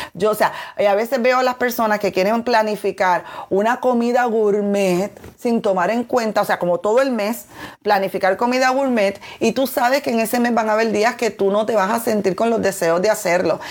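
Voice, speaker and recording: In a very clean recording with a silent background, a woman with an ordinary speaking voice talks at a moderate pace, her fairly high pitch held in fairly even intonation. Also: very even loudness. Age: 40s. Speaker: weight-loss coach and podcast host. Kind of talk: motivational solo podcast talk. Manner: warm, conversational.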